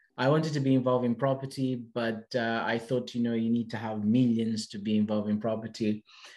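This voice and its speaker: Very fast and with hardly any pauses, a man speaks at medium pitch in a monotone, flat intonation. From Portugal. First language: Portuguese. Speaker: property investor. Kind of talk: podcast interview. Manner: halting.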